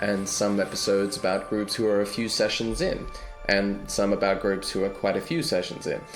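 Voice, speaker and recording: Fairly low male voice with ordinary pitch variation over music in the background. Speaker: podcast host and dungeon master. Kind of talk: podcast intro.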